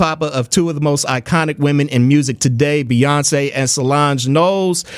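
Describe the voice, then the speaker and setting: Noticeable background noise accompanies a man speaking at a moderate pace in a fairly high pitch with ordinary pitch variation. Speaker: radio host. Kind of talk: radio interview host. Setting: studio.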